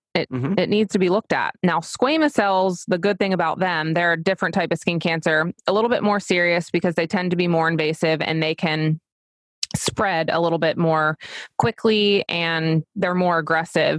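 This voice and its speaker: With an American accent and a plain, everyday voice, a woman speaks at a fairly low pitch and a moderate pace, her intonation fairly even and loudness very even, in a dry, close sound with no echo. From US Mid-Atlantic, Delaware coast. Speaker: dermatology nurse practitioner. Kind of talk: casual interview chat.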